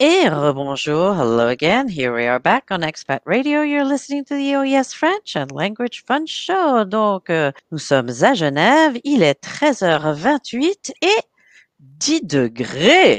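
A woman at a very slow pace with a fairly high pitch and very wide pitch swings, the sound dry and close with no echo. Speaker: language teacher and radio host. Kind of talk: radio show patter, bilingual French and English. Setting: radio studio. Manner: animated, chatty, upbeat radio DJ patter.

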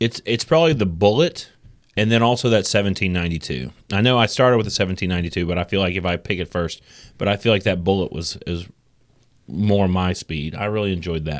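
A man with a normal speaking voice and an American accent talks at a fairly quick pace with lively intonation and a fairly low pitch. The recording is very clean, with a silent background. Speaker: podcast co-host. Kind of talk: casual podcast chat.

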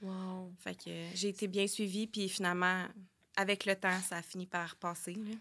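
A woman with a Quebec accent speaks at a medium pitch and a moderate pace. Her tone is bright and sharp, and her intonation is monotone and flat. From Quebec, Sherbrooke. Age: 20s. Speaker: early childhood educator and mother. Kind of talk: personal testimony in casual interview. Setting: studio.

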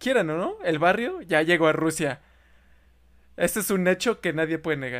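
Speaking at a moderate pace with long, frequent pauses, a man uses a high pitch. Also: ordinary pitch variation. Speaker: podcast host. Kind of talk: casual chat.

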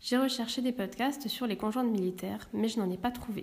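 A woman's fairly high pitch, an unremarkable speaking voice with ordinary pitch variation. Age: 30s. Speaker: podcast host. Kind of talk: scripted introduction. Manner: formal.

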